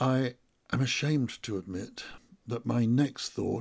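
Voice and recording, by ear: The pitch rises and falls by an ordinary amount. The text is read aloud in a natural voice.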